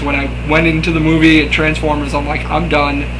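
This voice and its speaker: Noticeable background noise and audible room echo accompany a man talking fairly quickly. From Rhode Island. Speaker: YouTuber, wrestler. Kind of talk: casual vlog. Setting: talking to camera.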